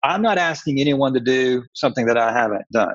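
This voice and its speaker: This is a man with a plain, everyday voice and an American accent. His pitch is medium, with ordinary pitch variation. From US South, Atlanta. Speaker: author and church pastor. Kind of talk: casual interview.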